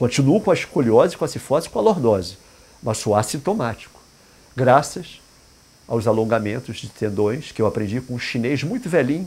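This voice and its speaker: A man talks at a moderate pace and a medium pitch, his voice somewhat breathy. He leaves long, frequent pauses. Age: 60s. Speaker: indigenist and therapist. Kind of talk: talk in an interview format. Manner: halting, with repetitions.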